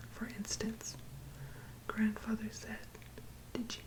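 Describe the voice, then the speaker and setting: Whispering from a woman, with noticeable background noise behind it. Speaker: ASMR creator. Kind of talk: bedtime story reading. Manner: soft-spoken, whispering.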